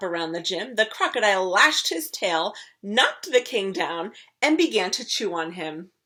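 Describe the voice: The text is read out loud. Nothing more is added to the reading.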